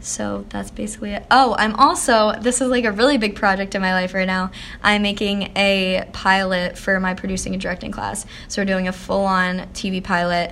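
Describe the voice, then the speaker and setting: In an ordinary speaking voice, a woman with an American accent talks at a moderate pace and medium pitch, keeping her intonation fairly even. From Pennsylvania, near Philadelphia. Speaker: college student, aspiring TV director. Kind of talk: interview, casual chat. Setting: college building lobby.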